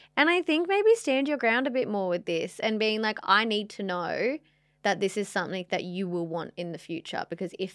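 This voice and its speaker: Against a quiet background, a woman with an Australian accent speaks at a moderate pace with lively intonation. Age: 20s. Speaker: podcast co-host. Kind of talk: casual chat.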